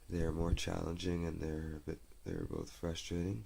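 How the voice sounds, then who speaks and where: Soft-spoken and very deep in pitch, a man talks at a moderate pace. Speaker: amateur goalie vlogger. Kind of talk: casual vlog monologue. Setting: home, family member sleeping. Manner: halting, many fillers.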